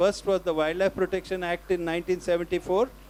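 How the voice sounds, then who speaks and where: A man speaks in a high-pitched voice. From India, coastal Karnataka. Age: 70s. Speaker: conservation scientist and author. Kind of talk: panel conversation.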